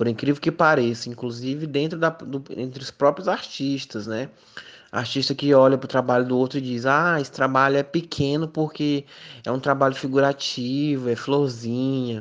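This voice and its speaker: A man's voice, pitched fairly high, with fairly even intonation. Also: moderate pace. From Piauí, Brazil (Miguel Alves). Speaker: visual artist and university professor. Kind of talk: interview. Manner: hesitant, frequent fillers.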